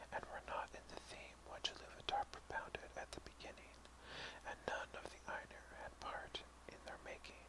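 A man whispers at a fairly slow pace against noticeable background noise. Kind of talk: whispered audiobook-style reading of a fantasy text (ASMR). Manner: whispered.

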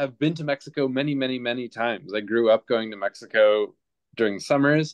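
The speech moves at a fairly quick pace with ordinary pitch variation over a quiet background. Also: man. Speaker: guest. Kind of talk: self-introduction on a group video call. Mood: friendly, relaxed. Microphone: video call.

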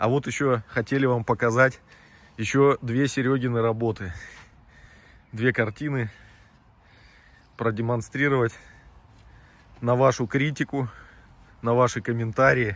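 A man speaks fairly slowly with long, frequent pauses, very even loudness and fairly even intonation, the sound dry with no echo. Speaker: magnet-fishing vlogger. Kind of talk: casual vlog chat. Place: waterside. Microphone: phone near.

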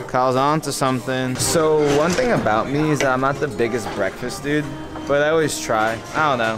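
Clear music plays in the background. Over it, a man talks at a moderate pace with ordinary pitch variation. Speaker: travel vlogger. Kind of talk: casual vlog chat. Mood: upbeat, cheerful. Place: cafe. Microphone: phone near.

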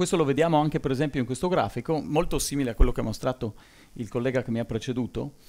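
A man's dark, mellow tone at a very fast pace, with ordinary pitch variation. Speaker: engineering professor, solar materials expert; university lecturer. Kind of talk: conference talk. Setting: conference hall with audience. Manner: hesitant, many fillers. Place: hall. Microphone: podium.

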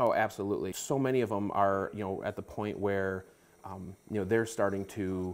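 In a normal speaking voice, a man of fairly low pitch talks at a moderate pace with fairly even intonation. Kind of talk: interview answer. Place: office. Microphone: lapel.

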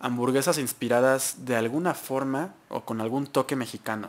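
A man keeps a moderate pace, and his intonation stays fairly even. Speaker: show host. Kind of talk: review commentary. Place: studio. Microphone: studio mic.

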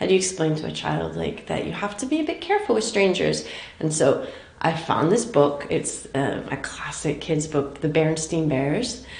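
A woman at a moderate pace, with audible room echo around her voice. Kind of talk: interview answer. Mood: thoughtful, earnest.

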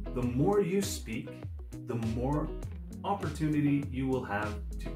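Clear music plays in the background as a man speaks at a very slow pace. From Canada. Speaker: online English tutor. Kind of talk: promotional self-introduction to camera. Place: home room.

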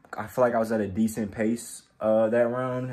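Noticeable background noise is audible behind a man's speech. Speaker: amateur boxer vlogger. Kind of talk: casual vlog chat. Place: home room. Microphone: phone near.

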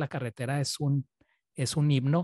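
With a dry sound and no echo, a man with a plain, everyday voice speaks at a moderate pace in a fairly high pitch. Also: quiet background. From Chihuahua, northern Mexico. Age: 30s. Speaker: interviewer, Spanish teacher. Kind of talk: interview. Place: home room. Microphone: studio mic.

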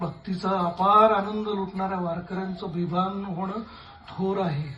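Over noticeable background noise, a man with a high pitch speaks in a raised, projected voice with monotone, flat intonation. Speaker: theatre artist. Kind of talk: dramatised literary reading on stage. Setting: theatre stage with music. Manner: emotional, reflective.

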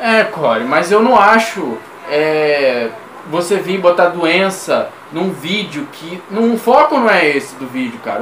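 At a fairly slow pace, a man speaks amid light background noise and audible room echo. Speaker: react video creator. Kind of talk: casual reaction commentary. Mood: critical, opinionated. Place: home room. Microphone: webcam.

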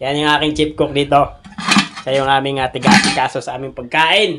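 A man speaking at a fairly quick pace. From Philippine provinces, outside Manila. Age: 30s. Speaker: vlogger and bibingka vendor. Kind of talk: casual vlog update. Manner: hesitant, many fillers.

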